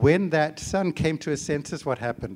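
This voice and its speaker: This man has a fairly high pitch and ordinary pitch variation. The recording is very clean, with a silent background. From Zimbabwe. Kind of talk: teaching session on prayer. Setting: conference breakout room with live audience.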